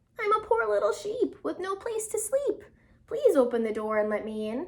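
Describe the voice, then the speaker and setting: Extremely high-pitched put-on character voice from a woman. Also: moderate pace. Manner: deceptive, coaxing.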